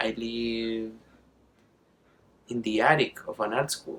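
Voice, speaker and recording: Here a man talks with an Argentine accent. His pace is fairly slow. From Argentina. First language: Spanish. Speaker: artist and drag performer. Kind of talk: documentary interview. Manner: casual.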